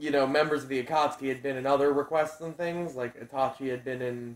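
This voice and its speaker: A man speaks fairly quickly at a medium pitch with monotone, flat intonation. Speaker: YouTuber discussing fictional fight ideas. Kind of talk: casual monologue. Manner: hesitant, many fillers.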